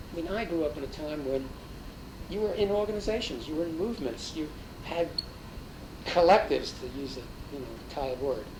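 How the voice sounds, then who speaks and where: A man's high-pitched, lively voice at a fairly quick pace, with long, frequent pauses, audible room echo and noticeable background noise. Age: 60s. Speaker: interviewee, folk music scene figure. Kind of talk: interview. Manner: hesitant with fillers.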